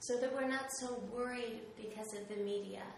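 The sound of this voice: A woman talks at a moderate pace in a fairly high pitch with fairly even intonation and vocal fry, with audible room echo.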